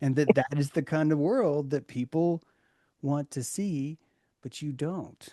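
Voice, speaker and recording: Speaking with an American accent, a man has a fairly high pitch and a dark, mellow tone at a fairly slow pace. The sound is dry and close with no echo against a quiet background. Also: ordinary pitch variation. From US South (Chattanooga, Tennessee). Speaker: discussion group facilitator. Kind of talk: group discussion.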